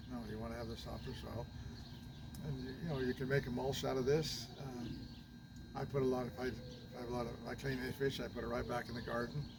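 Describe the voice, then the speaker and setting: A man talks at a very fast pace. The audio carries audible room echo and noticeable background noise. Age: 80s+. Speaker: retired grandparent sharing gardening tips. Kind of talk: casual chat.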